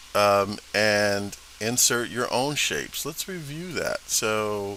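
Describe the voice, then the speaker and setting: A man at a fairly low pitch with lively intonation, amid noticeable background noise. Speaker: instructor. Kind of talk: tutorial. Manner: casual, hesitant with fillers.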